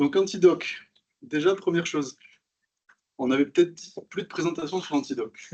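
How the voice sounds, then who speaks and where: With a Toulouse accent, a man speaks at a high pitch and a moderate pace, showing ordinary pitch variation, big swings in loudness, and long, frequent pauses. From southern France, Toulouse. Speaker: software developer. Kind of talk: conference talk.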